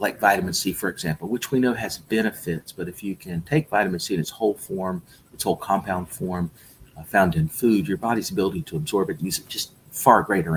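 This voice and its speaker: A plain, everyday voice from a man with an American accent, fairly low in pitch, at a fairly quick pace with lively intonation. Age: 60s. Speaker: health supplement company founder. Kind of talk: interview.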